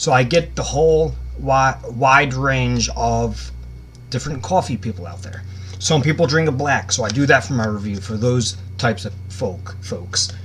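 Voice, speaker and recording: Here a man with a fairly low voice speaks at a moderate pace, his pitch swinging very widely. Noticeable background noise runs underneath. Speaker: YouTuber product reviewer. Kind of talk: casual product review. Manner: casual, conversational.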